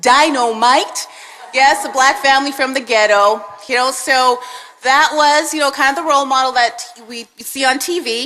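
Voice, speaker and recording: A woman speaks in a high, raised and projected voice. Her pace is moderate. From Canada (Winnipeg), born in Jamaica. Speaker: police sergeant, mentor speaker. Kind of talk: speech to audience. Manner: halting.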